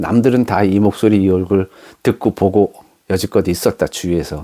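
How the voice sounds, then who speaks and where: Dry and close with no echo, a man's voice comes across dark and mellow at a fairly low pitch. His pace is moderate. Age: 50s. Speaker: beginner YouTuber. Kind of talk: casual talk to camera.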